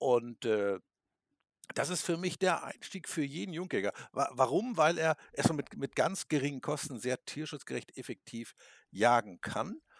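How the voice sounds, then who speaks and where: Here a man speaks at a fairly slow pace with lively intonation. The sound is dry and close with no echo, on a very clean recording with a silent background. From Lower Saxony, Germany. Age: 50s. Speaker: hunting expert and taxidermist. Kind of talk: podcast interview. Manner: halting, many filler sounds.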